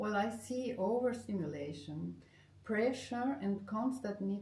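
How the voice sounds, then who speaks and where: A woman speaks at a fairly slow pace with lively intonation and a medium pitch. Audible echo fills the room. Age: 60s. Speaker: art therapist and former professional musician. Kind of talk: interview. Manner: halting.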